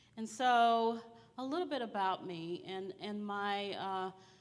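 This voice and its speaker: A woman with an American accent speaks at a very slow pace with ordinary pitch variation. Audible room echo surrounds her voice. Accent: slight Southern accent, comes out at times. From Texas, small town near Dallas. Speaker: school district administrator. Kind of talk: conference presentation.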